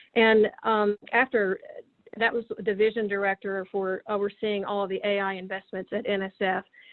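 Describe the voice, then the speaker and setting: Woman with a Tennessee accent, medium pitch and monotone, flat intonation at a moderate pace. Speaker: government science policy official and roboticist. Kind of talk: interview talk about career. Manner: hesitant with many fillers and repetitions.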